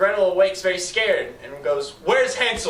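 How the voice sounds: Here, a natural reading voice is heard.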